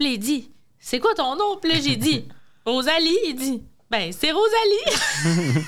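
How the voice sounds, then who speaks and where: A woman with a Quebec City accent speaks at a very slow pace and a high pitch, with very wide pitch swings and very even loudness. Long, frequent pauses break her speech over noticeable background noise. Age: 20s. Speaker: French teacher. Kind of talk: casual chat.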